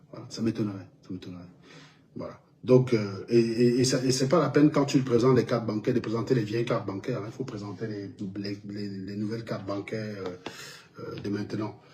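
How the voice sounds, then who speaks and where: A man speaks at a fairly quick pace and a medium pitch, his loudness swinging widely. Noticeable background noise is present. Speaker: online commentator. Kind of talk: commentary video reaction. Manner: animated.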